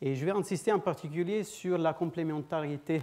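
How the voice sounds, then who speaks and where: A man with ordinary pitch variation. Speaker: physicist, guest seminar speaker. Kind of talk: lecture. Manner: halting, many hesitations and repetitions.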